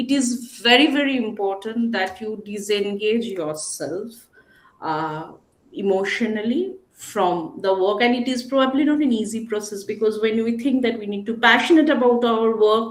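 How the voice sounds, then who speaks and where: Lively intonation at a moderate pace, with audible room echo. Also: woman, fairly high pitch for a woman. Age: 40s. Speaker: panelist. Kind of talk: panel discussion.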